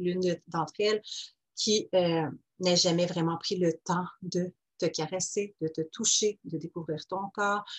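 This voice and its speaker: In a Quebec accent, a woman speaks at a fairly slow pace with fairly even intonation, the sound dry and close with no echo. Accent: Québécois French. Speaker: life coach podcaster. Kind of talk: casual solo podcast monologue. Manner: hesitant with many fillers.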